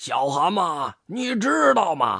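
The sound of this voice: Slow put-on character voice with big pitch swings, a bright, sharp tone and a slightly husky edge, on a very clean recording with a silent background.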